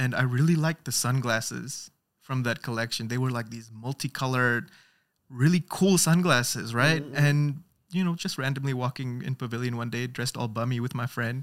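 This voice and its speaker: A man with a plain, everyday voice and medium pitch speaks at a fairly quick pace with ordinary pitch variation on a very clean recording with a silent background. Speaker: TikTok creator. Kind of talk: casual chat. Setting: studio.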